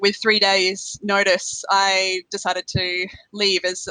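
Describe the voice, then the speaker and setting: A woman speaks with an Australian accent at a medium pitch, her tone bright and sharp. Her intonation is monotone and flat, and the sound is dry and close with no echo against a quiet background. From Australia, South Australia. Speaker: finance blogger and events worker. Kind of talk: podcast interview. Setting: international call.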